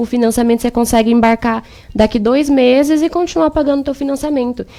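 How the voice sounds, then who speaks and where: Speaking at a very fast pace, a woman keeps a high voice with fairly even intonation. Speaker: exchange agency consultant. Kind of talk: radio interview, sales pitch.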